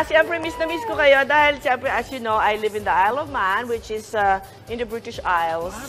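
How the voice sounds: A woman's fairly high voice comes through while music plays behind her. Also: lively intonation, fairly quick pace.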